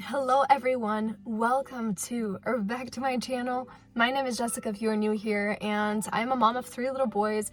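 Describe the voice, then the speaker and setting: Hardly pausing, a woman with a fairly high pitch and fairly even intonation speaks over music in the background. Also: moderate pace. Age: 20s. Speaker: vlogger and stay-at-home mom. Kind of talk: casual Q&A chat to camera.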